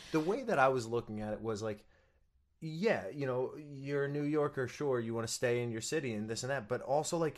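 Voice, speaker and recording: Talking fairly quickly in an ordinary speaking voice, a man keeps a medium pitch with ordinary pitch variation. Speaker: stage actor. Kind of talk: casual chat. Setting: video call.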